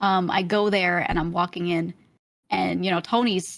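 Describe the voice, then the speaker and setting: A woman with a slight Brooklyn accent speaks at a fairly low pitch with vocal fry. The recording is very clean, with a silent background. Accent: Brooklyn accent, slight in normal speech. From US Northeast, Brooklyn, New York. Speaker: streamer. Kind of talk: casual chat.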